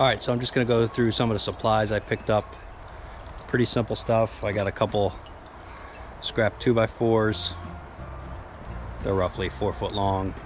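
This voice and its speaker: Music plays in the background as a man with a fairly low pitch speaks with fairly even intonation and long, frequent pauses, in a dry sound with no echo. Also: moderate pace. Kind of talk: casual vlog chat. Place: garden. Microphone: phone near.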